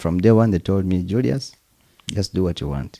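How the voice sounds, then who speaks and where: A man with a Ugandan accent talks at a moderate pace in a very deep, low pitch with a dark, mellow tone. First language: Luganda. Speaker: percussionist. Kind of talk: interview.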